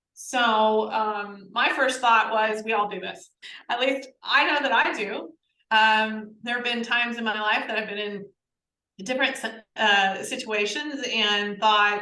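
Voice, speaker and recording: A woman's fairly high, bright, sharp voice with a slight Southern US accent, fairly even intonation and a fairly slow pace, with audible room echo. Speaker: podcast co-host, learning program creator. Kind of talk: casual conversation.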